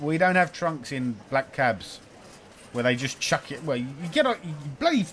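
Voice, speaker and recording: With vocal fry, a man talks at a fairly quick pace. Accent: English. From England. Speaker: gaming YouTuber. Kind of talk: let's play commentary reading game text aloud. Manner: animated.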